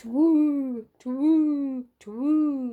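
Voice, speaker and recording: A put-on character voice, female-sounding and high-pitched. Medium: read story.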